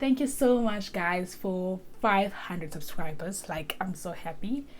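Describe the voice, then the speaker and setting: A woman's medium-pitched, somewhat breathy voice with audible room echo. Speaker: lifestyle vlogger. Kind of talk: casual vlog talk to camera.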